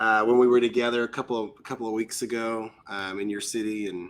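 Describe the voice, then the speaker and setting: In a fairly low voice, a man speaks at a fairly quick pace with fairly even intonation. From Ireland. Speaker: worship leader. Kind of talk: casual interview chat.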